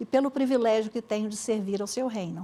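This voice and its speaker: Speaking with a Minas Gerais accent, a woman uses a fairly high pitch and a dark, mellow tone with ordinary pitch variation. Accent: Minas Gerais (mineiro). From Brazil, Espírito Santo (Cachoeiro de Itapemirim). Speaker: Baptist women's organization director. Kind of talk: interview testimony. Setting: TV studio, live broadcast.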